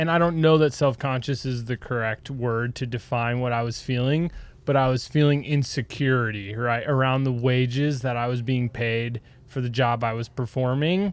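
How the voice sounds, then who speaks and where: A man talks with a Wisconsin accent. His intonation stays fairly even. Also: medium pitch for a man, moderate pace. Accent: Wisconsin (upper Midwest). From Wisconsin, US. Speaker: ski patroller and retail sales associate. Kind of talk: casual conversation.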